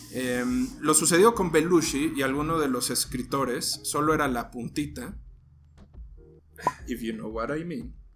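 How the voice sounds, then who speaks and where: Music plays in the background as a man speaks at a fairly high pitch with ordinary pitch variation. His pace is fairly slow, with long, frequent pauses. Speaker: podcast host. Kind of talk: casual storytelling podcast. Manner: halting.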